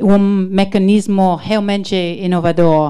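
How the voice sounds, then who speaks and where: With an English accent and a dark, mellow tone, a woman speaks in fairly even intonation on a very clean recording with a silent background. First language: English (speaking Portuguese). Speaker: diplomat, consul general. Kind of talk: prepared ceremony speech. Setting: launch ceremony with audience, livestreamed. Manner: halting, stumbles on words.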